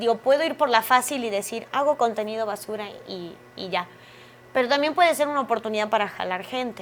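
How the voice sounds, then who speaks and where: A woman's fairly high-pitched voice at a fairly quick pace, with ordinary pitch variation and big swings in loudness. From Argentina. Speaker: actress. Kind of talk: interview.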